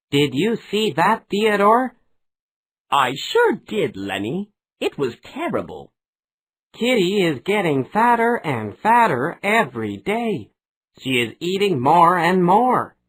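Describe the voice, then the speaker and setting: This is a put-on character voice at a middle pitch. It moves at a fairly slow pace. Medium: read story.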